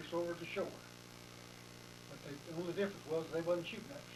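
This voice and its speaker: Room echo can be heard and background noise is noticeable as a man talks with an American accent. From Texas, Anderson County. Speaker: war veteran. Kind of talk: oral history interview. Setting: interviewer's home.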